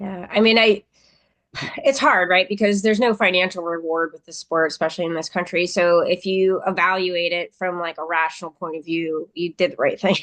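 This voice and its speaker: A woman with an American accent speaks in a plain, everyday voice at a medium pitch with fairly even intonation. Her loudness swings widely, and the sound is dry and close, with no echo. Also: fairly quick pace. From United States. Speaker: former Olympic judoka, interviewer. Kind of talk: interview.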